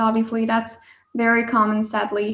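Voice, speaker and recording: Speaking at a fairly slow pace, a woman with a Hungarian accent has a fairly high pitch. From Hungary (Budapest). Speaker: engineering student. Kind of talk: podcast interview.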